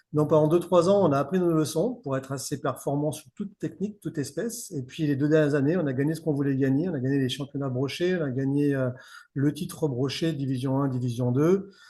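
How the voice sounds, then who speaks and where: A man with a fairly high, somewhat breathy voice and a dark, mellow tone talks at a fairly quick pace. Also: ordinary pitch variation. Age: 50s. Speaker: fishing guide. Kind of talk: podcast interview. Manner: casual, many hesitations.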